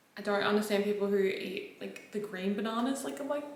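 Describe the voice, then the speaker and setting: A woman talks at a fairly quick pace. There is audible room echo and noticeable background noise. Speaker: fitness vlogger and online coach. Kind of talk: casual vlog. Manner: fast, filler-heavy chatter; quiet, holding voice down.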